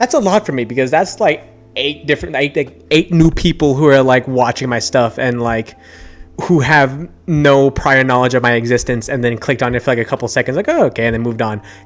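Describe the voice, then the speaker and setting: The speech moves at a fairly quick pace with ordinary pitch variation while music plays in the background. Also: man, medium pitch for a man. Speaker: YouTuber, tabletop gaming channel. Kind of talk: casual vlog monologue. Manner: fast; stumbling over words.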